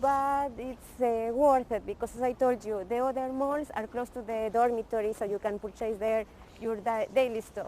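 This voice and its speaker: A woman's fairly high voice in a dark, mellow tone, with a Spanish accent, fairly even intonation and a moderate pace. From Ecuador. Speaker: vlogger showing the city to students. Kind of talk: casual walking tour chat.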